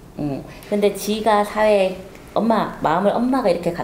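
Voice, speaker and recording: A woman speaks over light background noise. Some room echo can be heard. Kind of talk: fortune reading consultation. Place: home room.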